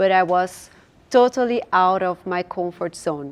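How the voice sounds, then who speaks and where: Very slow speech with a Portuguese accent. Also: woman. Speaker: finance entrepreneur, platform founder. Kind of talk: panel discussion. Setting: stage with audience at dinner event.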